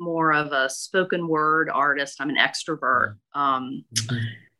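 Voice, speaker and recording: A woman speaks with a Mississippi accent and ordinary pitch variation. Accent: Mississippi Southern. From US South, northeast Mississippi. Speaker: author and storyteller. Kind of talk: reading aloud; interview.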